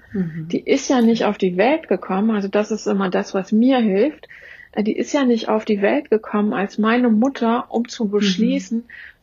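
A somewhat breathy woman with a fairly high pitch and ordinary pitch variation speaks at a moderate pace. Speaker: trauma therapist. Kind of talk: interview.

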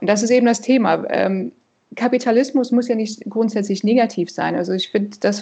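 A woman with a fairly high pitch and a somewhat breathy voice talks at a moderate pace with fairly even intonation. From Canada. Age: 40s. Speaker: financial advisor. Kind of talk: interview.

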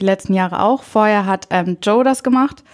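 An ordinary speaking voice from a woman, medium in pitch, at a moderate pace on a very clean recording with a silent background. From northern Germany, Friesland (Bockhorn). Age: 20s. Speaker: trainee primary school teacher, volunteer. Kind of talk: casual interview.

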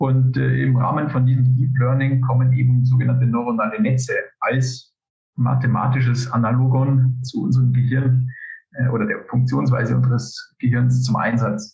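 Music plays in the background and audible room echo surrounds a man speaking at a moderate pace in a medium pitch, his intonation monotone and flat and his loudness very even. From Upper Palatinate, Bavaria, Germany. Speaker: civil engineer and postdoctoral researcher. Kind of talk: interview. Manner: hesitant, many filler sounds.

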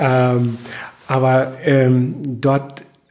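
A man's voice at a medium pitch. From northern Germany, Husum (North Frisia). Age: 50s. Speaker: chamber of commerce branch manager. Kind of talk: interview. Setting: office.

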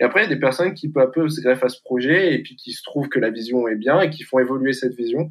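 Talking at a very fast pace with hardly any pauses, a man uses a medium pitch with ordinary pitch variation and big swings in loudness. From northern France, near Valenciennes. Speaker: student, association founder. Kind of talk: interview.

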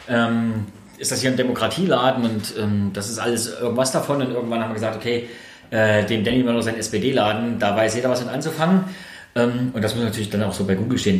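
In a room with audible echo and noticeable background noise, a man speaks very fast at a medium pitch with ordinary pitch variation. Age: 40s. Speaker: local politician. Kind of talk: interview. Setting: in his shop.

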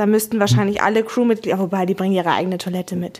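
The speaker is a woman. Her pitch sits in the medium range. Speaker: corporate podcast host. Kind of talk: casual chat.

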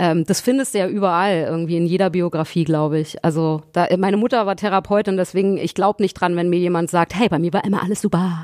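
A woman talks very fast with hardly any pauses, her loudness very even. Her pitch is fairly low and her intonation fairly even. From Berlin. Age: 40s. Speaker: singer. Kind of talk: casual chat.

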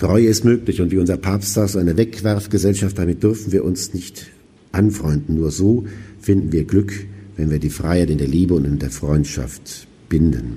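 In a room with audible echo, a man with a very deep, low pitch and a dark, mellow tone speaks at a moderate pace with vocal fry and ordinary pitch variation. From West Germany. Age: 50s. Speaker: auxiliary bishop. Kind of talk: lecture. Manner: formal.

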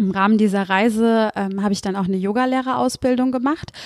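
With music playing in the background, a woman speaks at a fairly high pitch. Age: 30s. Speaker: podcast host and mindfulness coach. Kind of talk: podcast monologue. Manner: hesitant fillers.

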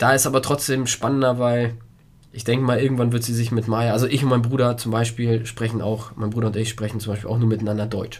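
A man talks at a very fast pace in a medium pitch, monotone and flat, somewhat breathy. There is audible room echo. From Germany (grew up with Polish-speaking parents). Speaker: podcast co-host, father. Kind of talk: casual chat.

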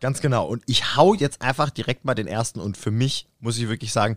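Recorded very cleanly against a silent background, an unremarkable speaking voice with ordinary pitch variation comes through dry and close, with no echo. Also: man. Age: 30s. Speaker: podcast co-host, drummer and photographer. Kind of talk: casual chat. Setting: rehearsal room.

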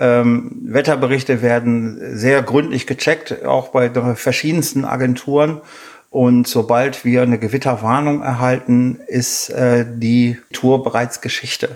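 A man at a very slow pace, medium-pitched, with monotone, flat intonation. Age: 50s. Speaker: mudflat hiking guide, former navy airman. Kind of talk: interview. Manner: hesitant, many filler sounds.

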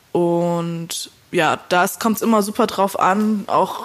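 Medium in pitch, this woman has a plain, everyday voice with fairly even intonation. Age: 20s. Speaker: indie pop musician. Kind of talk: casual interview. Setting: remote call.

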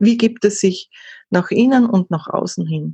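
A woman speaks at a fairly slow pace in an Austrian accent, her voice somewhat breathy and her pitch varying in an ordinary way. The sound is dry and close, with no echo. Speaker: content marketing consultant. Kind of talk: interview. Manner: halting, many fillers.

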